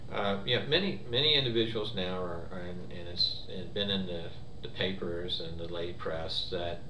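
A man speaks with a very deep, low pitch. Noticeable background noise is present. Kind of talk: interview answer. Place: office.

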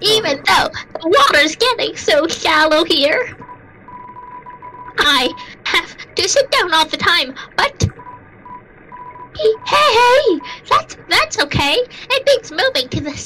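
A put-on character voice reaches an extremely high pitch with very wide pitch swings. It moves at a fairly slow pace with long, frequent pauses. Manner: bright, friendly.

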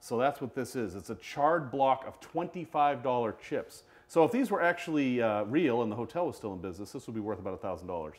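Moderate pace from a male speaker. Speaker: collector of curiosities. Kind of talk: live-streamed show and tell. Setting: studio, live video stream. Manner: animated. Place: studio.

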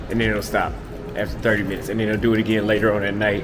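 A man is speaking. Music plays in the background. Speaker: travel vlogger. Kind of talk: casual vlog chat. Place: station. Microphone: phone near.

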